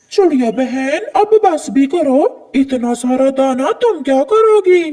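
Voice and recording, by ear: This is a cartoonish character voice pitched high. It moves at a very slow pace.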